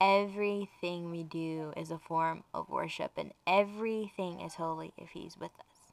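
A woman with a plain, everyday voice and a fairly low pitch speaks at a moderate pace, her intonation fairly even but her loudness swinging widely. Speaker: co-host and girlfriend of host. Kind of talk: casual devotional podcast chat.

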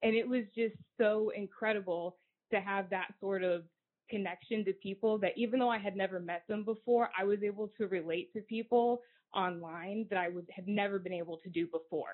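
In an American accent, a woman uses a plain, everyday voice of medium pitch, speaking at a moderate pace with fairly even intonation. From upstate New York. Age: 20s. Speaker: congenital heart disease patient advocate. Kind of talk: interview.

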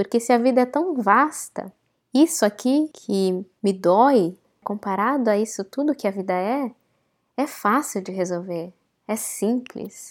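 A woman's fairly high voice with lively intonation at a fairly slow pace, on a very clean recording with a silent background. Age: 20s. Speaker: podcast host, actress and holistic therapist. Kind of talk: solo podcast monologue. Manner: animated, casual.

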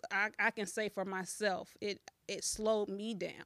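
Speaking very slowly, a woman with an American accent keeps a monotone, flat intonation. The sound is dry and close, with no echo. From US Midwest, southern Illinois. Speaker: school board candidate and social worker. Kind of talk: casual interview.

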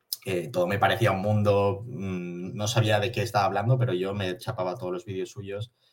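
It's an ordinary speaking voice from a man, fairly low in pitch. He talks at a fairly quick pace with fairly even intonation. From Spain, Barcelona. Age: 20s. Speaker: day trader. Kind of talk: interview.

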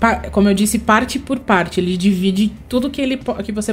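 A woman with a normal speaking voice talks in a medium pitch at a fairly quick pace, with ordinary pitch variation. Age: 30s. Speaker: writer and illustrator. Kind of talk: casual chat.

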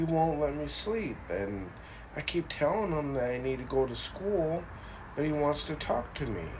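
Fairly high in pitch, a man speaks at a moderate pace with lively intonation. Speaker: paranormal podcast host. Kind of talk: ghost story telling, spooky narration. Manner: hushed, suspenseful, dramatic build with repeated words; informal, rambling, somewhat halting with fillers.

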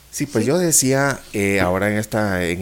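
The voice has lively intonation, with noticeable background noise behind it. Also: man. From Guatemala. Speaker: podcast host. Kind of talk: interview.

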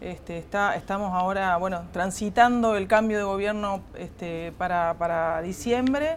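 Speaking at a fairly slow pace with hardly any pauses, a woman uses a medium pitch and ordinary pitch variation. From Córdoba, Argentina. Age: 40s. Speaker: singer-songwriter and percussionist. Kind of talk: interview. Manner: halting, many fillers and repetitions.

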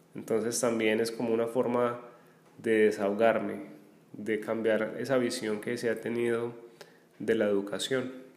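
A man talks at a fairly slow pace with a medium pitch and flat, monotone intonation. The room echo is audible and the background noise is noticeable. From Colombia, Armenia (Quindío). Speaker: teacher and podcaster. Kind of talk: casual solo monologue. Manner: hesitant, many filler pauses.

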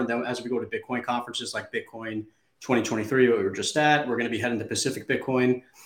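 A man at a fairly quick pace with fairly even intonation and noticeable background noise. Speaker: company founder, product seller. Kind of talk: casual chat, sales pitch. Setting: live stream.

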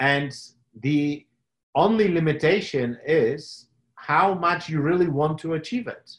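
The speaker has a Polish accent and lively intonation. The pace is fairly slow. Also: man. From Poland. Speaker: technology entrepreneur. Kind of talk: interview. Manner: halting.

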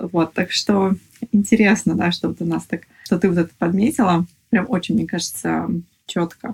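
A woman with vocal fry speaks at a moderate pace, leaving long, frequent pauses. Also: medium pitch for a woman, ordinary pitch variation. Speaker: podcast host. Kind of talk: interview. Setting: guest's apartment.

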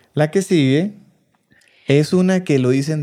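A man speaks in a dark, mellow tone at a fairly high pitch. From Venezuela. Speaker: podcast co-host. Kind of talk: casual chat. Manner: loud, forceful.

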